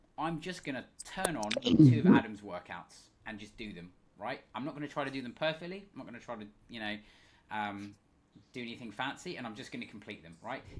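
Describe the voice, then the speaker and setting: A man at medium pitch speaks at a fairly quick pace with lively intonation and big swings in loudness, over noticeable background noise. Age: 30s. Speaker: fitness coach. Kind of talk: live webinar Q&A. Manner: casual, filler-heavy.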